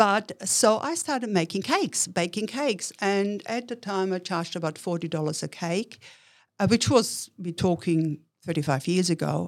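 In a very clean recording with a silent background, a woman speaks in an Austrian accent at a medium pitch. Her pace is moderate and her intonation lively. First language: German. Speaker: entrepreneur. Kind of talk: interview.

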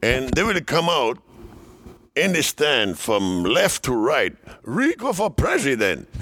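A man with a Dominican accent, fairly high in pitch, with vocal fry, very wide pitch swings and a very slow pace. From Dominican Republic. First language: Spanish. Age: 70s. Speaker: former baseball player. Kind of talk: casual interview, storytelling. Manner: animated, laughs often.

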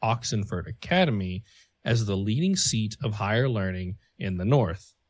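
A man with a medium pitch and a somewhat breathy voice talks at a moderate pace with lively intonation against a quiet background. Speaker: podcast co-host. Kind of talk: casual chat.

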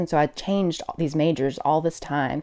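A woman with an American accent and a normal speaking voice talks at a fairly low pitch and a fairly quick pace. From US South, Mobile, Alabama. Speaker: nurse. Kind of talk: interview.

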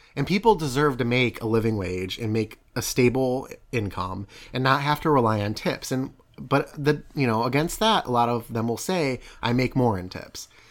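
With a medium pitch and ordinary variation, a man is talking. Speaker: podcast host. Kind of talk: casual chat. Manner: fast talker.

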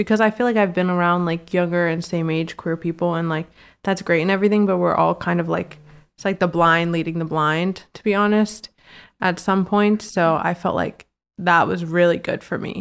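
An ordinary speaking voice from a woman, fairly low in pitch, at a moderate pace with fairly even intonation, on a very clean recording with a silent background. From Virginia. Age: 20s. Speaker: interior designer. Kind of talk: casual chat.

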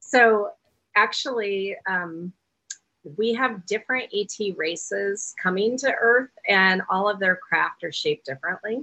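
A woman with an American accent has an unremarkable speaking voice, medium in pitch with ordinary pitch variation, and speaks at a fairly slow pace. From Oklahoma City, US South. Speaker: spiritual author and UFO tour guide. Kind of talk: interview conversation.

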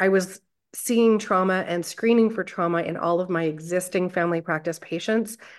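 Against a quiet background, a woman with a Canadian accent talks fairly quickly at a medium pitch with ordinary pitch variation. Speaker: family physician and trauma therapist. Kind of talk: interview conversation. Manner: informal.

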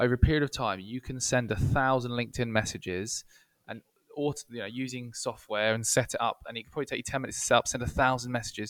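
A medium-pitched man talks at a very fast pace in an English accent. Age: 30s. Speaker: marketing agency co-founder. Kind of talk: casual interview.

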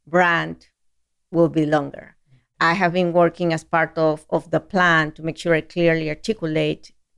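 A woman's very deep, low voice in a Spanish accent, monotone and flat, at a moderate pace. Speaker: chief marketing officer. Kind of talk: interview.

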